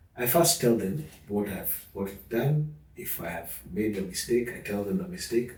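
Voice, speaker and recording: The man's voice sits at medium pitch, with very wide pitch swings and big swings in loudness. He keeps a moderate pace amid audible room echo. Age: 50s. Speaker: father sharing parenting experience. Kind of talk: interview conversation.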